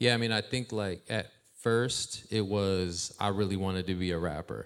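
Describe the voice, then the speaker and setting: In an American accent, a man with a plain, everyday voice and fairly low pitch speaks with fairly even intonation on a very clean recording with a silent background. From Ohio. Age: 40s. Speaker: hip-hop artist and youth mentor. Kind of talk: casual interview on stage. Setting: stage with live audience.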